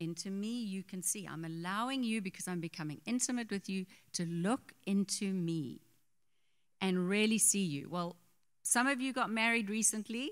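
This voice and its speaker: A woman with a plain, everyday voice, medium in pitch with ordinary pitch variation, on a very clean recording with a silent background. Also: moderate pace. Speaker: pastor's wife, co-teacher. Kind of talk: sermon. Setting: church.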